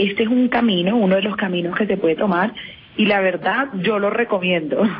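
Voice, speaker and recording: A woman with a Caribbean Colombian accent speaks at a fairly quick pace in a medium pitch, with ordinary pitch variation and very even loudness, over noticeable background noise. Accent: Colombian Caribbean (costeño). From Colombian Caribbean coast, Cartagena. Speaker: entrepreneur and author. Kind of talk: radio interview.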